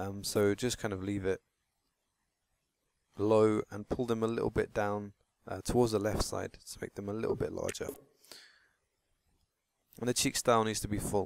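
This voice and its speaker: Dry and close with no echo, a man's monotone, flat voice moves at a moderate pace with long, frequent pauses. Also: fairly low pitch for a man. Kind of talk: gaming tutorial voiceover. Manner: casual, hesitant.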